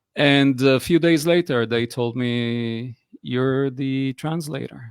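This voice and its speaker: The sound is dry and close, with no echo. It carries a man's medium-pitched voice. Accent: Israeli. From Israel. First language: Hebrew. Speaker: personal coach. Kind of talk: interview conversation. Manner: hesitant, many fillers.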